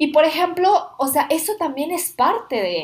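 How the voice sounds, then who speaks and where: A woman's voice with very wide pitch swings. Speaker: podcast host, former au pair. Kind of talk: casual chat. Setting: shared microphones in one room.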